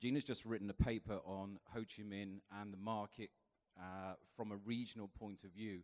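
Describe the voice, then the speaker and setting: A man speaks with monotone, flat intonation. His pitch is fairly low and his pace moderate. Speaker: real estate firm country head presenting market report. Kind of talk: business seminar presentation. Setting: seminar with live audience. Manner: hesitant, many fillers.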